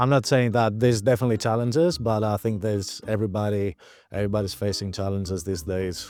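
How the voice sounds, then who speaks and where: On a very clean recording with a silent background, a man with a Greek accent speaks at a very fast pace. His pitch is fairly low with ordinary pitch variation. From Greece, Athens. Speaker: migrant interviewee. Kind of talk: interview.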